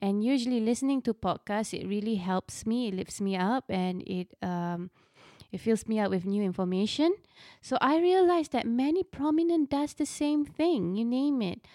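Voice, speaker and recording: Using very wide pitch swings, a woman with a high pitch and a dark, mellow tone speaks at a fairly slow pace. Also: dry, close sound with no echo, very clean recording, silent background. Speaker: podcast host and confidence coach for mothers. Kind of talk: casual monologue. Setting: studio. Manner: unscripted, flowing.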